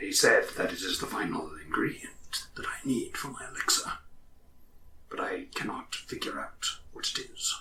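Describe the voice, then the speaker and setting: In a put-on character voice, a man whispers. He keeps to a moderate pace. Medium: actual play. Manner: cryptic, eccentric.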